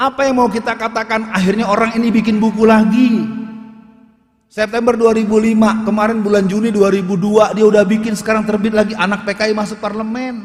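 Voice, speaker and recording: Fairly quick and monotone, a man speaks in a high pitch with flat intonation. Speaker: Islamic preacher / ustadz. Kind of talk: public lecture / speech on politics.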